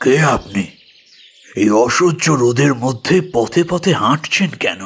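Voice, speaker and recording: A put-on character voice with lively intonation, very even loudness, and a fairly slow pace. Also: man, medium pitch for a man. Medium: audio drama. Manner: polite, gentle, calm.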